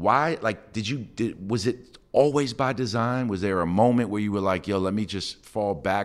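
A man with a New York accent, fairly low in pitch, at a moderate pace with lively intonation. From New York City. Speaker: podcast host, sports executive. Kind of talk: interview. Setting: studio.

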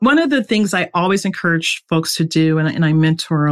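A woman with a plain, everyday voice, fairly low in pitch with ordinary pitch variation, in a dry, close sound with no echo and a quiet background. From US East Coast. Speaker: security engineering executive. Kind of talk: interview.

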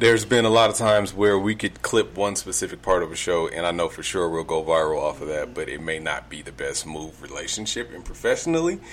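A man's fairly low voice at a very fast pace, hardly any pauses, big swings in loudness, and noticeable background noise. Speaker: podcast host. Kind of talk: casual chat. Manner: animated.

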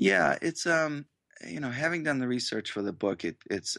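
With an American accent, a man swings very widely in pitch through vocal fry, heard dry and close with no echo against a quiet background. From Massachusetts. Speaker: author and magazine editor. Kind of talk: radio interview. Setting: phone interview from home.

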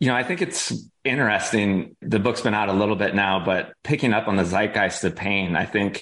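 Against a quiet background, a plain, everyday voice speaks at a moderate pace. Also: man. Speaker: organizational psychologist and author. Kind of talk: casual interview chat.

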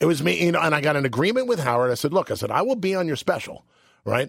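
The recording is very clean and the background silent. A man with an American accent talks very fast. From New York. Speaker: radio host. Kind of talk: casual chat. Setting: studio.

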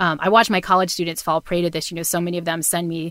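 The speaker is a woman with an American accent. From Massachusetts, New Bedford. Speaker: psychology professor. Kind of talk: casual interview.

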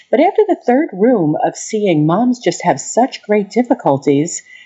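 A woman speaks in an American accent at a medium pitch, somewhat breathy. Her pitch swings very widely. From US Northeast, Long Island, New York. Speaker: lactation consultant. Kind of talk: interview.

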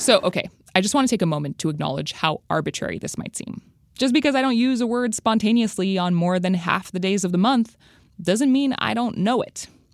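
Lively intonation and a fairly quick pace come through a very clean recording with a silent background and a dry, close sound with no echo. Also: woman. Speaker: podcast host. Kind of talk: scripted narration with casual interviews. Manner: animated, conversational.

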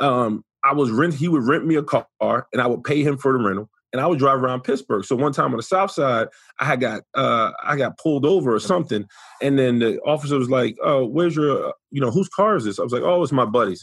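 With a New York accent, a man at a fairly high pitch talks at a very fast pace in an animated tone, with ordinary pitch variation, very even loudness and a quiet background. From US Northeast, New York City (the Bronx). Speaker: former NFL player, sports commentator. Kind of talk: casual chat. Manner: animated storyteller.

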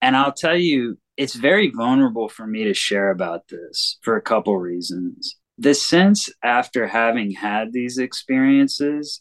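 This is an ordinary speaking voice with lively intonation, moving at a fairly slow pace with hardly any pauses, recorded with a dry, close sound and no echo. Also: man. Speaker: licensed therapist. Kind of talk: testimony.

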